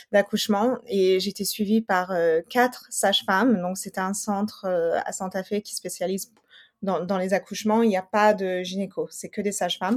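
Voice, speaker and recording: A woman speaks at a moderate pace and medium pitch in a monotone, flat intonation. The recording is very clean, with a silent background. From New Mexico and Colorado, US. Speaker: nutrition specialist and mother. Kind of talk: interview testimony. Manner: hesitant, many fillers and repetitions.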